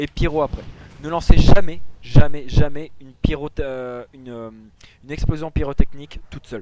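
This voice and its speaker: Talking at a moderate pace in a normal speaking voice, a man has a fairly high pitch, fairly even intonation and big swings in loudness. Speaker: gaming tutorial creator. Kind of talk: tutorial.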